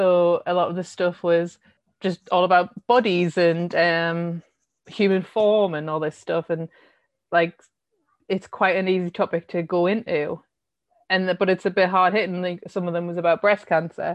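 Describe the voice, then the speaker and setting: With a Sunderland accent, a woman speaks at a moderate pace in a fairly low, monotone voice. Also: dry, close sound with no echo, quiet background. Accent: Sunderland (Mackem) northeast English. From northeast England, Sunderland. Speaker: art curator. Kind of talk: casual interview.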